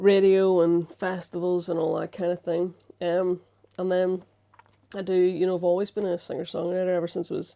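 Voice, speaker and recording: At a fairly quick pace, a woman speaks in a medium pitch with a Northern Irish accent and monotone, flat intonation. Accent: Strabane. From Northern Ireland, Strabane. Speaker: musical comedian and science communicator. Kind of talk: casual chat. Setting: studio interview on a sofa.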